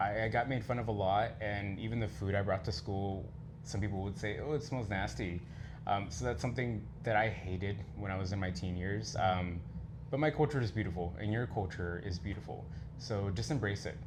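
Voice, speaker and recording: This man's voice sits fairly low and is somewhat breathy, with ordinary pitch variation and a fairly quick pace. Audible room echo surrounds him. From Texas, Mexican American family. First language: Spanish. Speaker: leather contest contestant and community educator. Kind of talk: interview.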